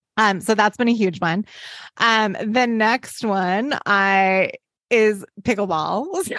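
At a very slow pace, a woman speaks with a fairly high pitch, ordinary pitch variation and very even loudness, in a dry, close sound with no echo against a quiet background. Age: 40s. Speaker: podcast co-host, designer and business partner. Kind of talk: casual chat.

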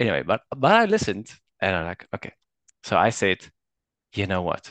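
Against a quiet background, a man with vocal fry moves at a moderate pace through very wide pitch swings. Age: 30s. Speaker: engineer and husband sharing his marriage experience. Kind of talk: interview testimony. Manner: halting, many fillers and restarts.

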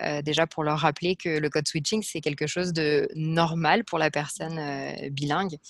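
A woman with a very deep, low pitch talks at a moderate pace with fairly even intonation and hardly any pauses. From France. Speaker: speech-language pathologist. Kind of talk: interview answers.

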